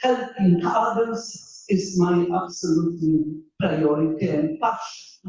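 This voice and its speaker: Speaking at a very slow pace, a woman has a medium pitch and ordinary pitch variation. She talks in a Polish accent. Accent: Polish accent, still present. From Poland. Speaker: engineering professor. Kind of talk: panel talk.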